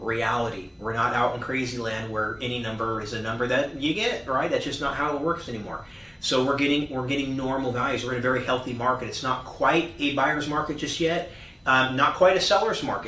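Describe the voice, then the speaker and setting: Fairly quick speech amid noticeable background noise and audible room echo. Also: man, medium pitch for a man, ordinary pitch variation. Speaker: real estate agent. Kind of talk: market update monologue. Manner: fast.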